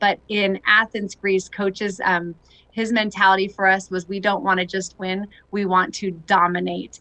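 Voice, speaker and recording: Loud and with a bright, sharp tone, a woman in a Californian accent speaks at a moderate pace and medium pitch with monotone, flat intonation. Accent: General American, Californian. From Southern California. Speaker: retired Olympic softball player. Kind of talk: interview. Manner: loud and positive.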